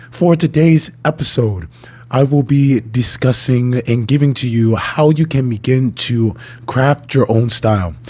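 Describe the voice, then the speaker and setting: A medium-pitched man at a fairly slow pace, with ordinary pitch variation, very even loudness and noticeable background noise. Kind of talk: educational talk. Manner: formal.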